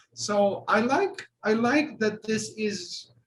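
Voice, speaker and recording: A man's high voice with ordinary pitch variation. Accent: Bosnian. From Bosnia and Herzegovina. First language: Bosnian. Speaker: artist and art professor. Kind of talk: panel discussion.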